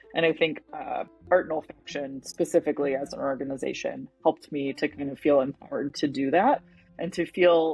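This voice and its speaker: A woman's very deep, low voice with a Michigan accent, ordinary pitch variation and a fairly quick pace. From Michigan, Detroit area. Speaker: perfumer, fragrance brand founder. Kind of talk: interview. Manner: casual, filler-heavy.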